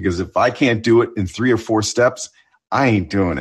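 A somewhat breathy man's voice, fairly low in pitch, against a quiet background. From Ontario, Canada. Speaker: TV news correspondent. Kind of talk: interview chat.

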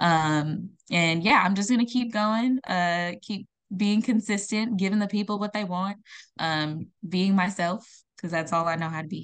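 A woman speaks in an unremarkable speaking voice at medium pitch, with ordinary pitch variation. Her pace is moderate against a quiet background. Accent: American. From Ghana, then California from age eight. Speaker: singer and artist. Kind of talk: casual interview chat.

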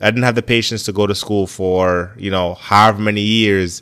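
In a normal speaking voice with fairly even intonation, the speaker goes at a fairly quick pace on a very clean recording with a silent background. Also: man. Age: 20s. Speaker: podcast host and athletic trainer. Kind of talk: casual monologue.

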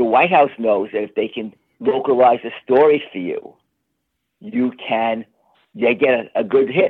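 Speaking at a fairly slow pace with long, frequent pauses, a man with a medium pitch uses lively intonation in an American accent. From New York. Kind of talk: interview.

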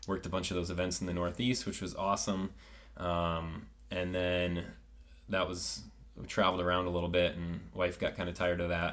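A man's very deep, low voice with a Midwestern American accent, ordinary pitch variation and a fairly quick pace, plus audible room echo. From rural north-central Ohio. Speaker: chiropractor. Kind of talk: casual interview chat. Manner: hesitant, many fillers.

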